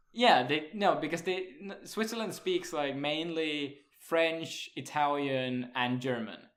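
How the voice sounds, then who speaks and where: Amid audible room echo, a man talks at a very slow pace with a fairly high pitch and ordinary pitch variation. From Sweden. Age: 20s. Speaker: podcast host. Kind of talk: casual chat.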